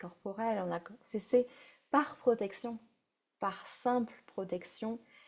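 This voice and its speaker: In a dark, mellow tone, the voice moves at a very slow pace. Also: woman. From France. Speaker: breathwork facilitator. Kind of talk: guided breathwork session. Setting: live stream. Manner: halting.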